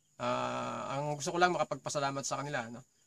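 A man speaks against a quiet background. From Philippines. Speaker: vlogger; vocal coach vlogger. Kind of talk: casual chat. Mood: friendly, thankful. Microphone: phone near.

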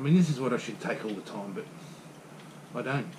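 Clear background noise sits behind a man speaking at a medium pitch.

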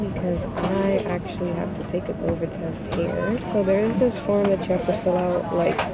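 The woman talks at a moderate pace, and the sound is dry with no echo. Loud background noise is present. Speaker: travel vlogger. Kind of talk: casual vlog chat. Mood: hopeful, slightly anxious. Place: plane. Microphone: phone near.

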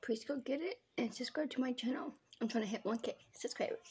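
She speaks at a high pitch. Her pitch varies in an ordinary way. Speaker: small channel vlogger. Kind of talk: casual vlog chat, food taste test. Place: home room. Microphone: phone near.

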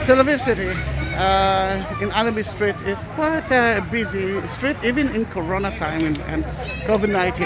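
Loud background noise surrounds a man talking at a moderate pace, the sound dry and free of echo. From Israel, Tel Aviv. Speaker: tour guide. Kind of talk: informal walking-tour vlog narration on the street. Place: street. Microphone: phone near.

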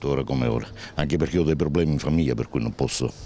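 An extremely low, dark, mellow male voice at a fast pace, with ordinary pitch variation and faint background noise.

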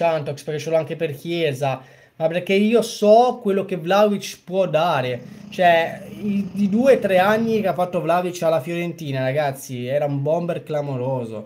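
A man's high-pitched voice at a moderate pace, with lively intonation over light background noise. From Genoa, Italy; Italy. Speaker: football fan streamer. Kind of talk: live reaction commentary. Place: home room.

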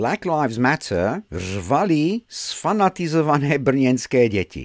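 A man with an English accent speaks in a furious, animated tone at a fairly slow pace, his pitch swinging very widely, in a dry, close recording with no echo. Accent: English-accented Czech. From England. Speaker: video blogger commenting on news. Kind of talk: angry rant. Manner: loud, sarcastic, vulgar, furious; mocking, animated, exasperated.

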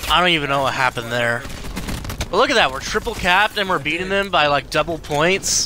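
A very fast, animated man with a fairly high pitch, dry sound with no echo, and noticeable background noise. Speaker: gaming YouTuber; gamer. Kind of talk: live gameplay commentary. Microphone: studio mic.

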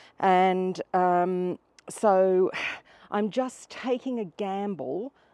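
A woman speaks at a very slow pace in a dark, mellow tone. The sound is dry, with no echo. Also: ordinary pitch variation, quiet background. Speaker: gardening vlogger. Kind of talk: casual vlog chat. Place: garden.

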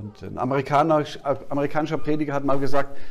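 Speaking fairly quickly, a man delivers his words. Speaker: preacher. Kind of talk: sermon. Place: hall.

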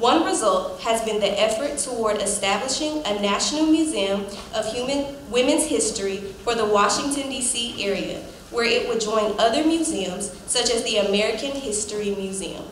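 Over light background noise and audible room echo, a woman speaks at a moderate pace with a fairly high pitch and ordinary pitch variation. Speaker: master of ceremonies. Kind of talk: formal ceremony hosting. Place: hall. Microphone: podium.

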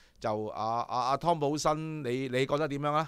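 A man with a fairly high voice speaks in an animated tone with ordinary pitch variation, the sound dry with no echo and the background quiet. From Hong Kong. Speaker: horse racing show host. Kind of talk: casual chat. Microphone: studio mic.

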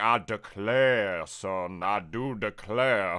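In a put-on character voice with a Southern US accent, a man drawls very slowly in a fairly low, theatrical tone on a very clean recording with a silent background. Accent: Southern American. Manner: exaggerated, theatrical drawl.

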